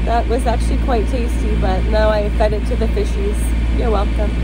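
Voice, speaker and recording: A woman's voice, dry with no echo, over music in the background. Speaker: sailing vlogger. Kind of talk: casual vlog chat. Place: boat. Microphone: phone near.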